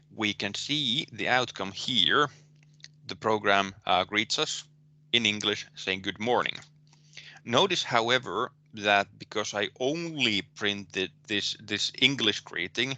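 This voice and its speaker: Speaking very slowly with a Finnish accent, a man has a fairly low pitch and a bright, sharp tone. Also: ordinary pitch variation. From Finland. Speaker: university lecturer. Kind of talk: lecture. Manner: halting, many fillers and repetitions.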